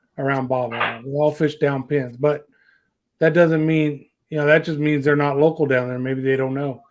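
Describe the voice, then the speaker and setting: In a Southern US accent, a man talks in a fairly high voice. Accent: southern drawl. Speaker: fishing show host. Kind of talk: casual chat. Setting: livestream.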